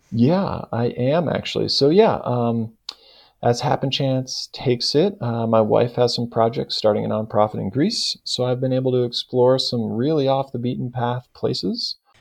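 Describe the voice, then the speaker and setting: A man with an American accent has a plain, everyday voice at medium pitch with ordinary pitch variation. He speaks at a moderate pace over a quiet background. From US West Coast, California Bay Area. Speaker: fly fishing expert. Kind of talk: podcast interview.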